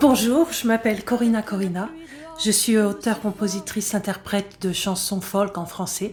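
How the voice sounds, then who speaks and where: Noticeable background noise sits behind a woman speaking at a moderate pace and medium pitch with ordinary pitch variation. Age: 60s. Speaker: folk singer-songwriter. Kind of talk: recorded artist message. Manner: hesitant, with frequent fillers.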